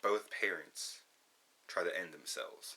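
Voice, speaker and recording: A man speaks at a very slow pace. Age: 20s. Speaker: vlogger. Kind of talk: personal testimony. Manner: monotone; flat, emotionless delivery.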